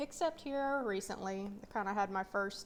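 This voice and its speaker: Speaking at a moderate pace with an Appalachian accent, a woman uses a medium pitch and ordinary pitch variation. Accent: Appalachian North Carolina. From US South, mountains of North Carolina. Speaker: personal finance vlogger. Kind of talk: casual vlog update. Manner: hesitant, many fillers.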